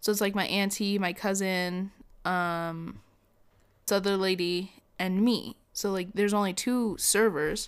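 A woman uses a normal speaking voice at a medium pitch with fairly even intonation and a fairly slow pace. The recording is very clean with a silent background. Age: young. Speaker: podcast co-host, restaurant server. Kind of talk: casual chat.

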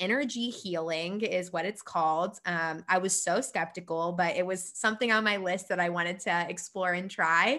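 A woman's medium-pitched voice, bright and sharp in tone, moves at a moderate pace in a very clean recording with a silent background. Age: 20s. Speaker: yoga teacher and physical therapist. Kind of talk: casual chat.

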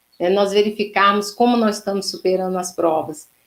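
A woman talks in an ordinary speaking voice at a moderate pace, medium in pitch with fairly even intonation. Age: 50s. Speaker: spiritist lecturer. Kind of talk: religious lecture.

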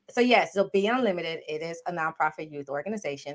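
A woman with an American accent, talking at a fairly quick pace. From Miami, Florida. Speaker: nonprofit founder and entrepreneur. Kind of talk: casual chat.

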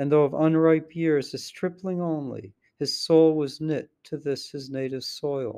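A man with a normal speaking voice and fairly high pitch, at a fairly slow pace with fairly even intonation and hardly any pauses. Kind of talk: dramatic narration of poetry, reading aloud; reading aloud poetry. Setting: traveling, recorded on a laptop. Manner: formal, measured.

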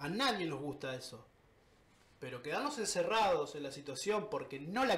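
Spoken at a moderate pace with very wide pitch swings, the clip has audible room echo and noticeable background noise. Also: man. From Argentina. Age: 30s. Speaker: tattoo artist. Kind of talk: casual interview.

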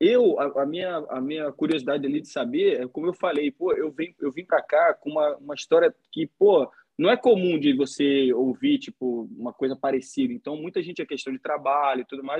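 Fairly high-pitched and fairly quick, a man with a Carioca accent talks with hardly any pauses and ordinary pitch variation. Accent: carioca Brazilian Portuguese. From Rio de Janeiro, Brazil. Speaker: podcaster. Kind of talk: casual chat.

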